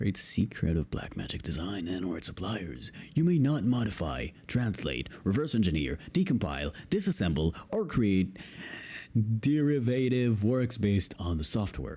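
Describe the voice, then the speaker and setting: In a very clean recording with a silent background, a man with a fairly low pitch shows very wide pitch swings and vocal fry. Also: moderate pace. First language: Hebrew. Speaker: YouTuber, video editor. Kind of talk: reading aloud. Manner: halting.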